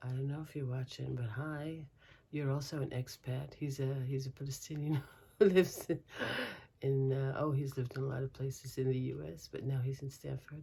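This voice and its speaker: With an American accent, a woman speaks fairly quickly in a very deep, low pitch, her tone dark and mellow and somewhat breathy. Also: fairly even intonation. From Brooklyn, New York. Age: 60s. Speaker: crochet vlogger. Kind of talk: casual vlog chat. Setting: home, windows open. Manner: halting, many fillers.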